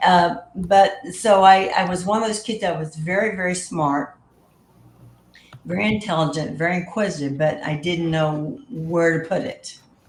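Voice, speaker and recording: With a Texan accent, a woman talks at a fairly slow pace in a fairly low pitch with ordinary pitch variation, amid audible room echo and noticeable background noise. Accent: Texan Southern US. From South Texas, US. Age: 70s. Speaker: guest sharing paranormal experiences. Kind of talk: casual interview chat.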